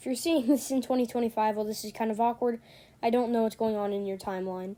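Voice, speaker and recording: A woman's dark, mellow voice at a very fast pace, with fairly even intonation, on a very clean recording with a silent background. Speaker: YouTuber. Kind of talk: casual video narration. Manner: casual, with filler words.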